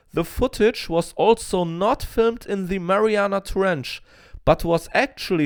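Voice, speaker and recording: This man talks at a fairly slow pace with a non-native accent, the sound dry and close with no echo on a very clean recording over a silent background. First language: not English. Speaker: paleontology YouTuber. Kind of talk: scripted educational narration.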